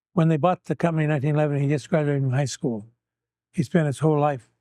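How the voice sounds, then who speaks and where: A man with a Western US accent and a dark, mellow tone talks very fast at a fairly high pitch, with ordinary pitch variation and a dry, close sound with no echo. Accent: Western American. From US West, Needles, California. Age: 80s+. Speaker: local businessman and civic leader. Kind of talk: oral history interview.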